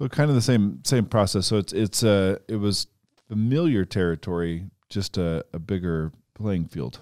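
In an ordinary speaking voice, a man with a fairly low pitch talks at a moderate pace with lively intonation. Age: 40s. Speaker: podcast host. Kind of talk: casual chat.

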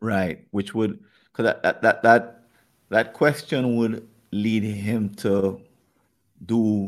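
On a very clean recording with a silent background, a man speaks at a very slow pace and a fairly low pitch, with fairly even intonation and long, frequent pauses. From Jamaica. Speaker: podcast host. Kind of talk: conversational problem-solving discussion.

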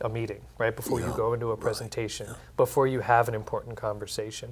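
A man with a medium-pitched, somewhat breathy voice talks at a very fast pace in a monotone, flat intonation. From Texas. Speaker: nonprofit executive. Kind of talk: panel discussion. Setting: studio.

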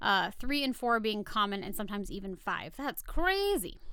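Speaking at a moderate pace with an American accent, a woman uses a high pitch, very wide pitch swings and a bright, sharp tone. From rural US. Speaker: podcast co-host. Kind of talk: reading research notes; casual chat.

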